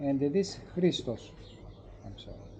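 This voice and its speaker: With a Greek accent, a man speaks in a dark, mellow, somewhat breathy voice pitched fairly high. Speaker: host's relative. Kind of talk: casual chat. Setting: tavern. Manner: halting.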